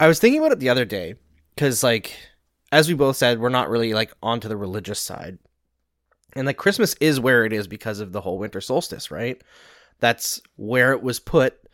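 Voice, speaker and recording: A man with a Canadian accent talks at a medium pitch in an ordinary speaking voice, with lively intonation at a fairly quick pace. The recording is very clean with a silent background and a dry, close sound with no echo. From Western Canada (Saskatchewan, Alberta). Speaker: hockey analyst and podcast host. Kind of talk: casual chat.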